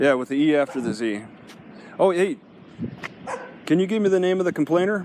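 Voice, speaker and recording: Lively intonation comes with a slight Midwestern accent and long, frequent pauses. Noticeable background noise runs underneath. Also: man, high pitch for a man, fairly quick pace. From US Midwest (Wisconsin). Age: 50s. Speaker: first amendment auditor. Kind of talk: casual conversation with police officer. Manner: halting.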